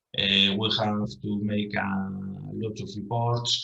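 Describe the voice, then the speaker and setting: Audible room echo surrounds a man with a Spanish accent, who speaks at a fairly low pitch with fairly even intonation. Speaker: professor. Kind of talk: conference presentation. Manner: halting.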